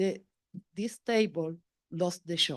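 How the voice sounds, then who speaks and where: This woman speaks with a Spanish accent. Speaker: parent speaking at public comment. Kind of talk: public comment. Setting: public meeting. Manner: halting.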